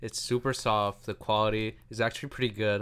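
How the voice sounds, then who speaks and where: A man speaks in a normal speaking voice with an American accent. The recording is very clean, with a silent background. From New York. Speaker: podcast host. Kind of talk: casual chat.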